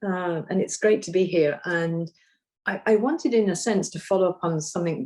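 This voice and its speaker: A woman with a British accent speaks at a moderate pace in a dark, mellow tone. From Britain. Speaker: nutrition policy expert. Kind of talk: panel discussion.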